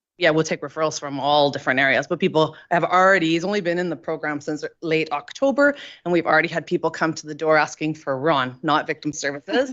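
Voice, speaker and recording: This woman's voice is very deep and low, with fairly even intonation. She speaks at a fairly quick pace. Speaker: victim services worker. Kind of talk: council presentation Q&A. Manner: loud.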